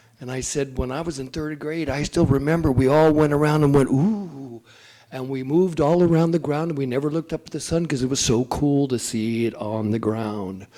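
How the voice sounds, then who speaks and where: A man's fairly high, animated voice at a fairly quick pace, with ordinary pitch variation. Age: 60s. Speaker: school principal. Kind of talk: public meeting report.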